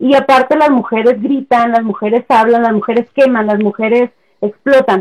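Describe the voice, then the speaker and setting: A woman's high voice, very even in loudness, fairly even in intonation, at a moderate pace, with a dry, close sound and no echo. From Chihuahua, northern Mexico. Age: 30s. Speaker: feminist page administrator. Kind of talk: casual chat.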